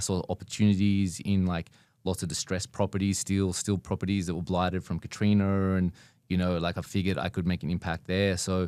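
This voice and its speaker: On a very clean recording with a silent background and a dry, close sound with no echo, a man with an Australian accent speaks fairly quickly at a very deep, low pitch, his tone dark and mellow and his intonation monotone and flat. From Australia, Sydney. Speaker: business owner. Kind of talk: podcast interview.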